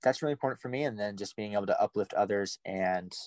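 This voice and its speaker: Dry and close with no echo, a man's fairly low voice races at a very fast pace. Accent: American. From US Midwest, north Omaha, Nebraska. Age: 20s. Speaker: climate organizer and wrestling coach. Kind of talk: casual chat.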